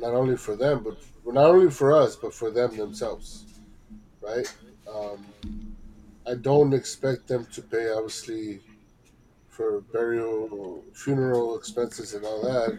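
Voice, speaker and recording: A man's medium-pitched, dark and mellow voice, somewhat breathy, at a fairly slow pace with long, frequent pauses and big swings in loudness. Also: ordinary pitch variation. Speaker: podcast co-host. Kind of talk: casual chat.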